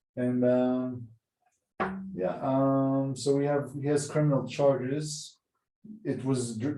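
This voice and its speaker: Speaking with an Israeli accent, a man uses a medium pitch and a dark, mellow tone, with audible room echo around him. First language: Hebrew. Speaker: podcast host. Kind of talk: casual chat.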